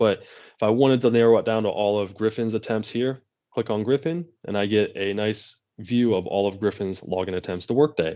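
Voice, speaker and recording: Against a quiet background, a man talks fairly quickly in a fairly low voice with a dark, mellow tone and ordinary pitch variation. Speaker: IT consultant presenting a webinar. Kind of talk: technical webinar demo. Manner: fast.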